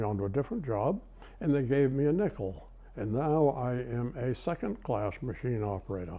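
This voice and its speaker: In a Maine accent, a man speaks at medium pitch and a moderate pace. His tone is dark and mellow. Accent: Maine New England. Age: 80s+. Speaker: retired machinist. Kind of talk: oral history interview.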